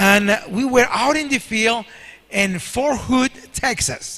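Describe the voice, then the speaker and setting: A man projects a raised voice with a bright, sharp tone, speaking at a fairly slow pace. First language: Spanish. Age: 60s. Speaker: guest preacher. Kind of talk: sermon. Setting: church.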